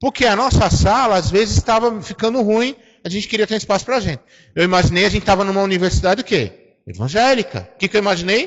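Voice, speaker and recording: A man talks at a very fast pace. His voice is high, with ordinary pitch variation. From Brazil. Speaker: preacher. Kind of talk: sermon. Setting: church. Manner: animated.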